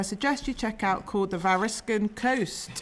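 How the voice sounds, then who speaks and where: A woman speaks at a moderate speed, her pitch varying in an ordinary way, with noticeable noise behind her. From Cornwall (Penzance). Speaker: artist. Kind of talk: event introduction.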